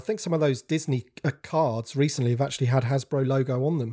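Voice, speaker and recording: In a very clean recording with a silent background and a dry, close sound with no echo, a man with a fairly high pitch and a dark, mellow, somewhat breathy tone talks at a very fast pace with ordinary pitch variation. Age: 40s. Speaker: toy collector YouTuber. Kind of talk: casual chat. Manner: halting.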